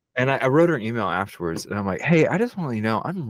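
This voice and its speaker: A man speaks loudly with an American accent, his pitch swinging very widely. The recording is very clean, with a silent background. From Texas. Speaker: filmmaker and podcast co-host. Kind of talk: casual chat.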